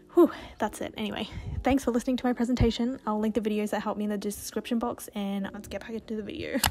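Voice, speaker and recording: A woman talking very fast with fairly even intonation, music in the background. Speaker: beauty vlogger. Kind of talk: casual vlog tutorial; recorded voiceover explanation. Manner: casual, chatty.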